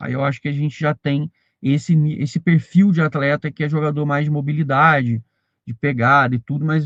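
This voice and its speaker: A somewhat breathy, fairly high-pitched male voice at a fairly quick pace, with a dry, close sound and no echo. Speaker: football news youtuber. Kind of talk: live stream chat reading viewer comments.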